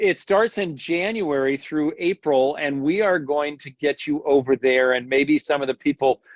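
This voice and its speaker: In a normal speaking voice, a man talks at a moderate pace and a fairly high pitch, with ordinary pitch variation, hardly any pauses, and a dry, close sound with no echo. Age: 60s. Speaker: gallery host. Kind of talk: casual chat.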